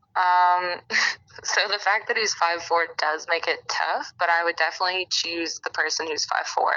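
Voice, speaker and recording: This woman speaks with a Southern US accent. Her pace is moderate. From Alabama. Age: 20s. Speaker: podcast guest. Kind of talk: casual chat.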